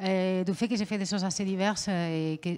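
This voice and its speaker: A woman with a Spanish accent talks at a medium pitch with ordinary pitch variation. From Spain. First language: Spanish (speaking French). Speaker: visual artist. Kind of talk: interview. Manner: hesitant.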